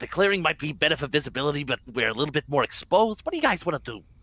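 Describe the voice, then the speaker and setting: A man adopts a put-on character voice pitched fairly high. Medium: actual play. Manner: casual, profane.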